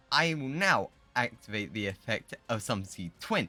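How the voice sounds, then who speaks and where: Music sounds in the background. Over it, a man talks. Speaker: gaming streamer. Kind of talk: gameplay commentary. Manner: fast.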